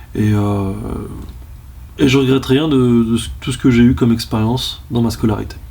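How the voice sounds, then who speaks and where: Noticeable background noise and audible room echo fill this recording. A man of medium pitch speaks with ordinary pitch variation and long, frequent pauses. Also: moderate pace. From France, Lyon. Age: 30s. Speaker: history teacher. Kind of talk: interview. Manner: hesitant, many fillers.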